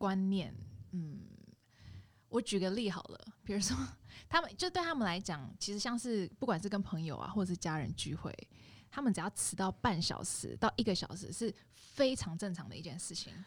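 A woman speaks with vocal fry and long, frequent pauses. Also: medium pitch for a woman, lively intonation, moderate pace. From Indonesia, Jakarta (ethnic Chinese). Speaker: podcast guest. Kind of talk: casual chat.

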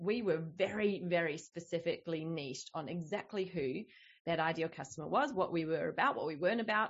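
A woman with an Australian accent. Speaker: business coach. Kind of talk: casual interview chat.

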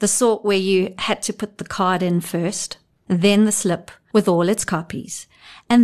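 In quiet surroundings, someone reads aloud plainly with a mostly level intonation.

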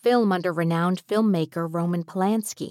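With an unremarkable speaking voice and ordinary pitch variation, a woman talks at a moderate pace in a dry, close sound with no echo. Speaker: narrator. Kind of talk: true-crime narration. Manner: measured, somber, steady storytelling pace.

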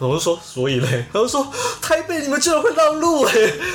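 Here a man talks at a fairly quick pace with very wide pitch swings. Noticeable background noise is present. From Taiwan, Taichung. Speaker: podcast co-host. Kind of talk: casual chat.

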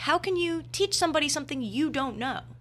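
Raised and projected, a woman's bright, sharp voice moves at a fairly quick pace in an American accent. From New Jersey. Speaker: university student. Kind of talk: casual chat.

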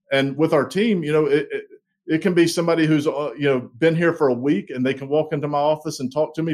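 Very fast pace with fairly even intonation in a Southern US accent. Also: man. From US South, small-town South Carolina. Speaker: logistics executive. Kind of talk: interview. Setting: video call.

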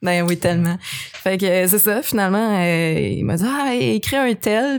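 A woman with a Quebec accent talks at a fairly slow pace in a medium-pitched voice with lively intonation, on a very clean recording with a silent background. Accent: Québécois French. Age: 30s. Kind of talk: casual chat.

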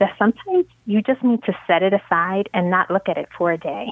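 This woman, with an American accent, has a medium pitch and a plain, everyday voice. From Brooklyn and Queens, New York. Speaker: author and attorney. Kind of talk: casual interview conversation. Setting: podcast interview.

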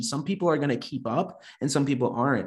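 A man with a fairly high pitch speaks at a fairly quick pace, somewhat breathy, with ordinary pitch variation. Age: 30s. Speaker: software entrepreneur. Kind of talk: casual discussion.

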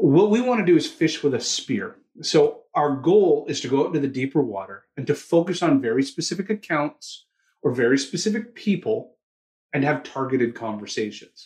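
Somewhat breathy, a man with a Canadian accent speaks with very wide pitch swings. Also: fairly high pitch for a man, moderate pace. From Toronto, Canada. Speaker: sales training CEO. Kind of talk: interview conversation.

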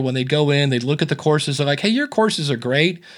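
A man's fairly high-pitched voice. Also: very clean recording, silent background. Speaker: podcasting coach. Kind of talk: casual interview chat.

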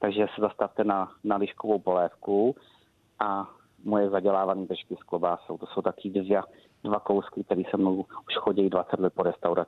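His intonation is monotone and flat. The man's pitch is fairly low and his pace moderate. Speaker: head chef. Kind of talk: casual interview with recipe. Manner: casual, jovial.

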